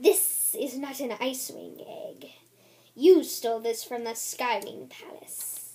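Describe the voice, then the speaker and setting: A woman puts on a character voice, pitched high. She speaks at a fairly slow pace. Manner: imperious, accusing.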